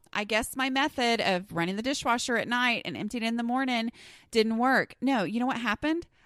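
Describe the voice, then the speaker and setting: The recording is very clean, with a silent background. A woman with an American accent speaks in an animated tone. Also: dry, close sound with no echo. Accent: Southern US, stronger when flustered. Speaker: podcast host. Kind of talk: casual podcast monologue. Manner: conversational, animated.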